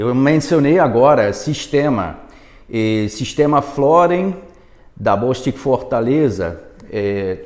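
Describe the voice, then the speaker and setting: A man speaks very slowly with a non-native accent. His fairly high voice has lively intonation. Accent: foreign accent in Portuguese. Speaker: product manager. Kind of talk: webinar presentation. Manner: halting, many fillers.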